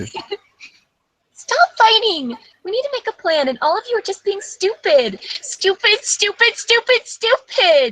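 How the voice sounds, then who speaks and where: An extremely high put-on character voice at a fairly slow pace, with hardly any pauses. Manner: bossy, exasperated.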